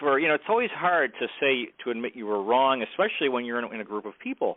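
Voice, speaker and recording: Over noticeable background noise, a man with a medium pitch speaks at a very fast pace with lively intonation. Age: 60s. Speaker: podcast host. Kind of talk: casual chat. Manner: halting.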